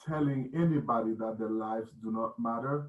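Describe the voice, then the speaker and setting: With a non-native accent, a man speaks with ordinary pitch variation. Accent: foreign. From West Africa (Burkina Faso). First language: not English (seventh language). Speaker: union member and civil rights activist. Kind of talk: panel discussion. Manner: halting, many fillers.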